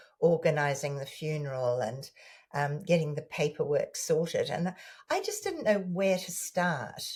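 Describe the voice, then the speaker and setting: In a very clean recording with a silent background, a woman with a New Zealand accent speaks at a moderate pace. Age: 70s. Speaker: former newsreader, author. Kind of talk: interview answer.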